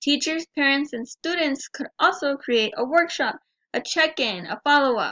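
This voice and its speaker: A woman's raised, projected voice, high-pitched and bright and sharp in tone, at a moderate pace with ordinary pitch variation, in a dry, close sound with no echo. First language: Spanish. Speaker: student. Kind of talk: class presentation.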